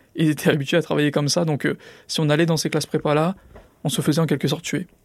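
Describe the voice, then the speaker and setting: Fairly quick and fairly even in intonation, a man's fairly high voice comes through a very clean recording with a silent background, dry and close with no echo. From France, Drancy (Seine-Saint-Denis), Paris suburbs. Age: 20s. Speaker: former student, entrepreneur. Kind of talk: interview testimony. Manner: filler-heavy, hesitant.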